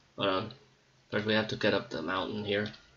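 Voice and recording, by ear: A man speaks at a fairly quick pace with a fairly bright tone and fairly low pitch. His intonation stays fairly even, and audible room echo surrounds the voice.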